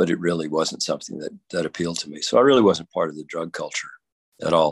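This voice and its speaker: This is a man speaking. He has a Texan accent. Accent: Texan southern drawl. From Texas, rural area south of Dallas-Fort Worth. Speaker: Episcopal priest. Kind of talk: interview. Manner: halting, frequent fillers and repetitions.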